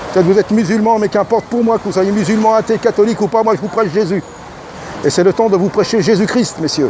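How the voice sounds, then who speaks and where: Someone speaks at a very fast pace with crowd noise in the background. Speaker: street preacher. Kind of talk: sermon. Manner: loud; fervent.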